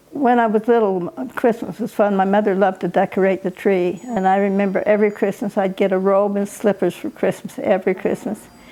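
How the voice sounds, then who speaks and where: A woman with an American accent in a medium pitch, fairly even intonation, a fairly quick pace and hardly any pauses, over noticeable background noise. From Utah, US. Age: 80s+. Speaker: elderly interviewee sharing life story. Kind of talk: family oral history interview. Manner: halting.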